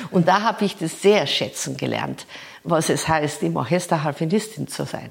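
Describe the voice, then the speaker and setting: Noticeable noise can be heard behind the voice. The speed of the speech is moderate. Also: woman. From rural Bavaria, Germany. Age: 60s. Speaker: harpist and music professor. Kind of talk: interview. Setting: at her home.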